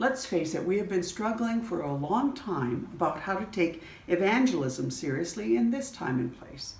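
In a room with audible echo, a woman with a Canadian accent talks at a moderate pace with hardly any pauses. Her fairly low pitch swings very widely. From Canada. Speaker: church bishop. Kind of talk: sermon. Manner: earnest, pleading. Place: home room. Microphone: phone near.

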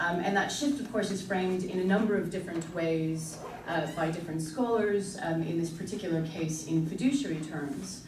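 Speaking with hardly any pauses, a woman with a fairly low voice comes through noticeable background noise and audible room echo. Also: ordinary pitch variation, moderate pace. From Canada. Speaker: international law lecturer; panelist. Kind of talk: academic conference presentation. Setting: conference room with audience. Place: classroom. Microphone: camera far.

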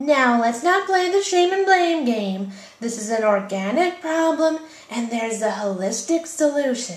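Using a cartoonish character voice, a female-sounding speaker talks at a moderate pace in a high pitch. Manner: soothing, earnest, mellow.

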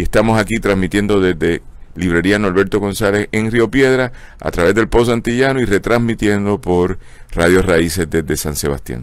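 A man speaks with a Puerto Rican accent at a moderate pace. His pitch is fairly low, with ordinary variation. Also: dry sound with no echo. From Puerto Rico. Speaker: host of a book club show. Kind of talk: casual live broadcast, hosting. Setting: outdoors at a bookstore street, live stream. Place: shop.

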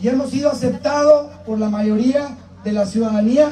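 Against background music and audible room echo, a man speaks at a moderate pace with ordinary pitch variation. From Piedras Negras, Coahuila, Mexico. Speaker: congressional candidate. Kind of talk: campaign rally speech. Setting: outdoor rally with crowd. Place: open country.

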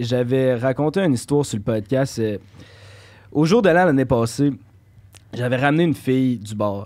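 Medium-pitched man at a moderate pace, ordinary pitch variation, quiet background. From Quebec, South Shore near Lévis; Quebec. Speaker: podcast guest. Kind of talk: casual chat. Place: studio. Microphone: studio mic.

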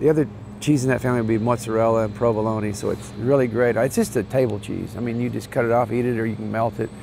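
A monotone, flat delivery comes at a very fast pace with an American accent. The sound is dry with no echo, over noticeable background noise. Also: man, medium pitch for a man. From Oklahoma (Krebs). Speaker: Italian grocery and cheese business owner. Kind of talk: interview. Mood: proud, warm. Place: street. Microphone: lapel.

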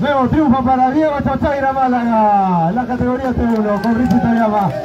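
A man speaks with an animated tone at a fairly slow pace, his pitch extremely high and its variation ordinary. Crowd noise fills the background. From Peru. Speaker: awards announcer. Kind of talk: live awards ceremony announcing podium winners. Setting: outdoors at the podium with an audience and PA system. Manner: animated, loud, rallying the crowd to applaud. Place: street.

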